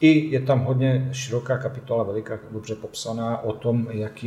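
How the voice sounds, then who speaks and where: A man speaks at a moderate pace with a medium pitch and fairly even intonation. His tone is dark and mellow, and somewhat breathy. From Bosnia and Herzegovina. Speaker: coffee expert, café owner. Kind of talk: interview.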